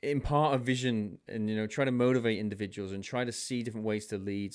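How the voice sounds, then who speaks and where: In a very clean recording with a silent background, a man speaks with a British accent. His fairly low voice moves at a fairly quick pace with ordinary pitch variation. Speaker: leadership speaker and army veteran. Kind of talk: podcast interview.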